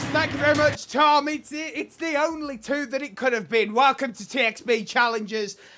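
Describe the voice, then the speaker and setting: With noticeable background noise, a man talks in a raised, projected voice at an extremely high pitch, keeping a moderate pace with hardly any pauses. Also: ordinary pitch variation. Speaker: esports caster. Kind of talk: live commentary. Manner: loud.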